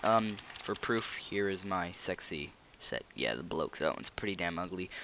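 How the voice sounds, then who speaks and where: A man speaks over noticeable background noise. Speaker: gaming video creator. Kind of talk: gameplay commentary. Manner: hesitant, many fillers; fast.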